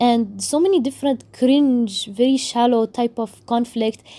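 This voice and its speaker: A woman with an Arabic accent, a dark, mellow tone and fairly even intonation. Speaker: book YouTuber. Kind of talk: casual review rant.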